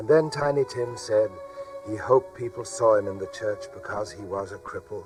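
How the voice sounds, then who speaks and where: Someone speaks at a moderate pace while music plays behind them. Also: man. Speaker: actor. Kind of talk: dramatised audiobook narration for children.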